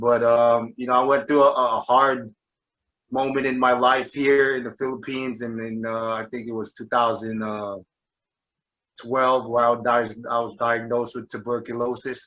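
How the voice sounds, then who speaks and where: A man speaks at a moderate pace with a New Jersey accent, his medium-pitched voice bright and sharp. His intonation stays flat and monotone while his loudness swings widely. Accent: New Jersey American. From New Jersey, US. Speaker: basketball coach. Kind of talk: interview. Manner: halting, many fillers.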